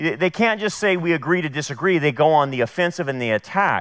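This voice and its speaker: A man speaks fairly quickly and with lively intonation over a quiet background. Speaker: pastor. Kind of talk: sermon. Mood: firm, critical. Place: church. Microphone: headset.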